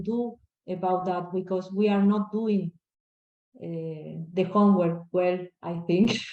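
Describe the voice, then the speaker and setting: At a fairly slow pace, a woman of medium pitch talks with an Argentine accent in a monotone, flat intonation. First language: Spanish. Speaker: crop scientist. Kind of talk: Q&A answer. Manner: halting.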